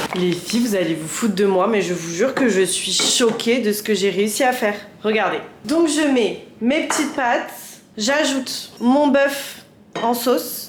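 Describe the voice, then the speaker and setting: A woman speaks at a fairly slow pace with a fairly high pitch and lively intonation. Her tone is animated, and the recording has audible room echo and noticeable background noise. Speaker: cooking vlogger. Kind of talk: casual vlog.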